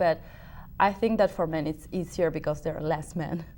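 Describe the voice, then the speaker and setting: A woman with a Spanish accent, fairly low in pitch, at a fairly quick pace. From Uruguay. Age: 30s. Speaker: opera singer. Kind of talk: interview. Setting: TV talk show studio. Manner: halting.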